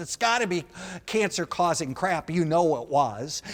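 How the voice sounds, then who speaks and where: This man talks at a fairly slow pace in a high voice, his tone animated and his intonation lively. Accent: Wisconsin. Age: 60s. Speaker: comedian. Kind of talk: stand-up. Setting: stage with audience.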